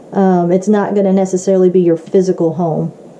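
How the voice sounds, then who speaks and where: A woman's medium-pitched voice carries monotone, flat intonation. Noticeable background noise is present. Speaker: tarot card reader. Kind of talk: tarot reading to camera. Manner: halting, with many fillers.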